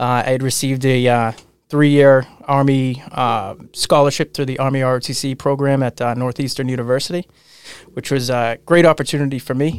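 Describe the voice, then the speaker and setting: The man has an ordinary speaking voice with a medium pitch and fairly even intonation. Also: fairly quick pace. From Massachusetts (Abington, near Boston). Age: 30s. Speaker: police officer and financial advisor. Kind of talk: interview conversation. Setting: studio. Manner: frequent filler words (uh, um).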